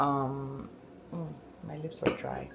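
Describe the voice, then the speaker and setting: Noticeable background noise sits under a woman's voice. The room echo is audible. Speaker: lifestyle vlogger. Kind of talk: casual vlog talk to camera. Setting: at home. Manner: halting, many fillers.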